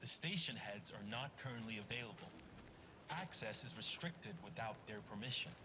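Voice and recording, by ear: Loud background noise sits behind a man doing a put-on, robotic character voice. He holds a medium pitch at a moderate pace.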